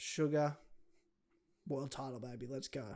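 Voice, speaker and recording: A man speaks with an Australian accent at a fairly slow pace. His pitch sits fairly high, and his intonation stays fairly even. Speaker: MMA podcast co-host. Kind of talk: casual chat.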